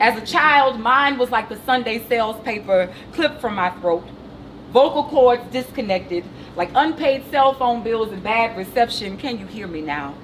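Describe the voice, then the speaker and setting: A woman's fairly high voice at a moderate pace, lively in intonation, with big swings in loudness and noticeable background noise. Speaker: poet. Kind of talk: poetry reading.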